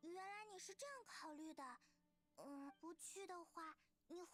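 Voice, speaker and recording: A female-sounding voice puts on a character voice at an extremely high pitch. The pace is moderate. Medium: video game. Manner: chatty.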